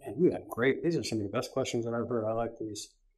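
A man's dark, mellow tone with fairly even intonation, over a quiet background. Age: 60s. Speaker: guest business leader. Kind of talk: interview. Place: studio.

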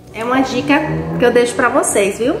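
A woman with a high voice speaks at a moderate pace, with audible room echo. Faint music plays in the background. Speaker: home vlogger. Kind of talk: casual vlog chat. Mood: cheerful, upbeat. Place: home room. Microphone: phone near.

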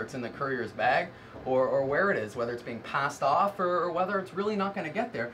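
Over noticeable background noise, someone with a Canadian accent speaks at a very fast pace with lively intonation. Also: man. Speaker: courier dispatcher. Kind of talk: interview about courier dispatch work.

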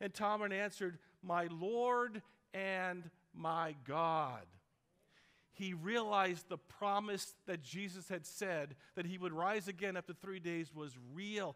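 Against a quiet background, a man with a bright, sharp tone speaks at a very slow pace with ordinary pitch variation. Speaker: pastor. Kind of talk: sermon. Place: church. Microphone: headset.

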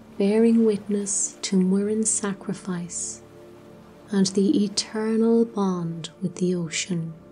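Very slow speech with fairly even intonation, over music in the background. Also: woman. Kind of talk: sleep story. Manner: soft-spoken, slow.

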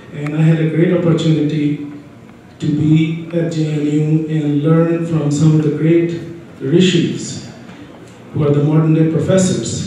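The speech moves at a fairly slow pace in a monotone, flat intonation. There is strong room echo and light background noise. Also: man, fairly high pitch for a man. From Bihar, India. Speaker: panel moderator. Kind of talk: panel moderation. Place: hall.

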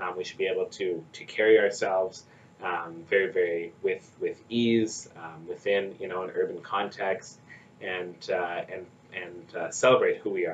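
Over light background noise, a man with a Canadian Prairie accent speaks at a moderate pace with big swings in loudness. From Saskatchewan, Canada (First Nation). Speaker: nonprofit executive director. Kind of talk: interview. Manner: halting, many fillers and repetitions. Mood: thoughtful, earnest. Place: office. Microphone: camera far.

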